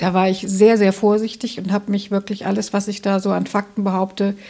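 A woman's dark, mellow tone with vocal fry. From Hesse, Germany. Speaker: author and journalist. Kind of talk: interview. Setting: author's office.

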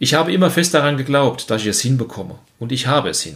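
A somewhat breathy man talks at a very fast pace. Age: 50s. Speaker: health coach and podcast host. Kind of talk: scripted monologue.

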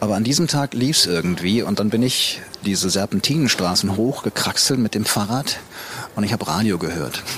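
Against noticeable background noise, a man with a fairly low pitch speaks at a fairly quick pace with lively intonation. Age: 50s. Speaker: photographer and adventurer. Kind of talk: casual interview.

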